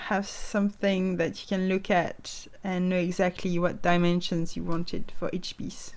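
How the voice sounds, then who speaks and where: A woman speaks with a French accent at a medium pitch and a fairly slow pace. Her intonation is monotone and flat. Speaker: stop motion animator. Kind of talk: casual craft tutorial to camera.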